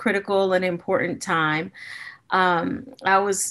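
A woman's very slow speech comes through over a quiet background. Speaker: keynote speaker. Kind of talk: keynote talk. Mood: warm, friendly. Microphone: webcam.

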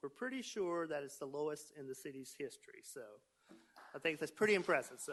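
A man's fairly high-pitched voice at a fairly quick pace, with lively intonation and big swings in loudness. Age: 60s. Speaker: city official presenting annual report. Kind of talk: council meeting presentation. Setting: city council meeting. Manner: hesitant, many fillers.

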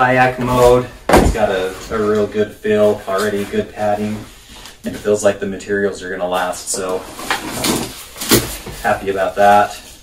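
Loud background noise fills the recording. A man talks at a moderate pace, with long, frequent pauses. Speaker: product reviewer. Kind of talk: casual unboxing review. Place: home room. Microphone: camera far.

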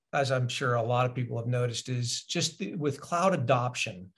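Against a quiet background, a man's somewhat breathy voice shows ordinary pitch variation. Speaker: remote podcast guest, sales executive. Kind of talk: interview answer. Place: home room.

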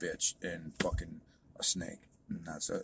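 A man talks at a moderate pace in a dry recording with no echo and light background noise. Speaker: vlogger. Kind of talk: casual vlog rant. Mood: angry, defiant. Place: car. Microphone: phone near.

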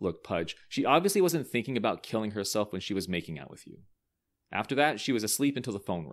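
Quiet surroundings and a natural voice reading aloud

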